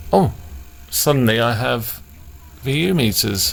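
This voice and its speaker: Someone speaks with a British accent over noticeable background noise. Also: man. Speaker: electronics repair hobbyist. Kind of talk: casual talk to camera.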